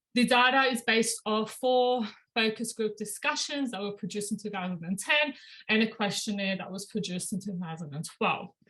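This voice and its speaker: Her tone is bright and sharp, with a fairly high pitch. The woman talks at a fairly quick pace with ordinary pitch variation. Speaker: doctoral researcher. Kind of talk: academic presentation. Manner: fast.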